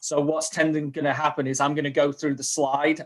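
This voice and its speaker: A man's fairly high, flat, monotone voice with a strong Manchester accent, at a fairly quick pace. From northern England, Manchester. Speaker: community program manager at a software company. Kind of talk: webinar presentation.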